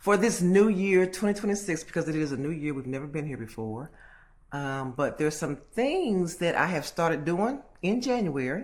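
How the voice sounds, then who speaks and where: Very wide pitch swings at a moderate pace. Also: woman, fairly low pitch for a woman. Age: 60s. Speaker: vlogger. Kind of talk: casual monologue vlog. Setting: at home alone.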